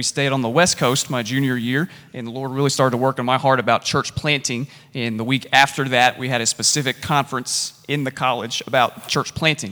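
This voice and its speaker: A man's medium-pitched voice in a South Carolina accent, bright and sharp in tone, fairly quick with hardly any pauses and fairly even intonation. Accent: Southern US (South Carolina). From US South, South Carolina. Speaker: church planter, pastor. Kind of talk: stage interview.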